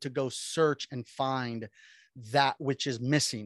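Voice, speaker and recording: The speaker is a man with an American accent and a fairly high pitch, using fairly even intonation. The sound is dry and close with no echo, over a quiet background. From Miami, Florida. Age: 40s. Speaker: pastor. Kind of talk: casual chat.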